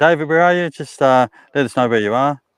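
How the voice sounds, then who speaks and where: A man with an English accent talks at a fairly quick pace with lively intonation, the sound dry and close with no echo. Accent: English-sounding (pommy). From Australia. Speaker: truck driver. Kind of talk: casual chat.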